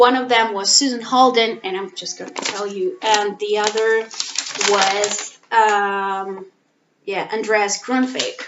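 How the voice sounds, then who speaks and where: Speaking at a very slow pace with a non-native accent, a woman keeps a monotone, flat intonation while her loudness swings widely. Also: medium pitch for a woman. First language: not English. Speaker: language teacher and master's student. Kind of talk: personal vlog monologue. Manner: halting, many fillers.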